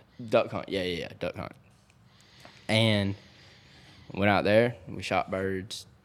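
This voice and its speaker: A man with a Georgia accent and a fairly low voice speaks fairly slowly, with long, frequent pauses and big swings in loudness. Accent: Southern US, Georgia. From US South, south Georgia (Thomasville area). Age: 20s. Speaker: outdoors social media influencer. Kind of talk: casual chat. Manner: animated.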